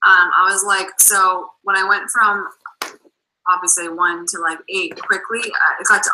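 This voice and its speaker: A woman with a Boston accent speaks at a medium pitch. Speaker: network marketing coach. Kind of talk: video call interview. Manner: animated.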